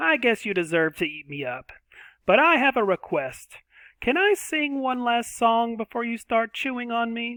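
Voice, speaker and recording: A man uses a put-on character voice at an extremely high pitch. He swings his pitch very widely at a moderate pace. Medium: read story.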